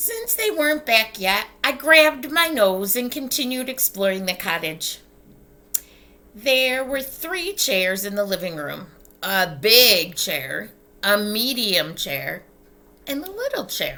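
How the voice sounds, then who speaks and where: A put-on, female-sounding character voice speaks slowly-ish, at a fairly slow pace, with a bubbly tone and fairly high pitch. Its pitch swings very widely. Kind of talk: bedtime story. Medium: read story. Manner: bubbly, chatty.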